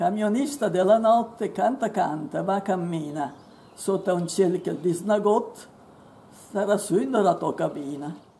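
In an ordinary speaking voice, a woman talks at a fairly slow pace with a medium pitch and lively intonation. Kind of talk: poetry reading.

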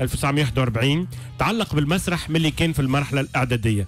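Over faint background music, a man speaks at a moderate pace in a dry sound with no echo. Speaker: radio host. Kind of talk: radio news commentary. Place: studio. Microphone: studio mic.

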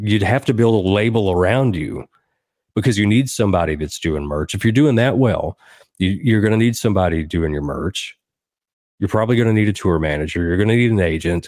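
With a Southern US accent, a man talks at a fairly quick pace in a fairly low pitch, his pitch varying in an ordinary way. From southern Middle Tennessee. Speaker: songwriter and musician. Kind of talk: casual interview chat. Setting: remote podcast call.

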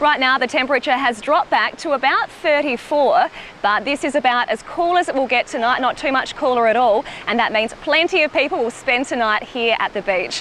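Fairly quick speech with ordinary pitch variation keeps a very even loudness. The sound is dry with no echo, over light background noise. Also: woman, high pitch for a woman. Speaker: TV news reporter. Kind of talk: live news report. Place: beach.

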